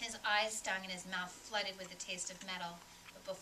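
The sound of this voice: The reading voice sounds unforced, and its intonation stays fairly even.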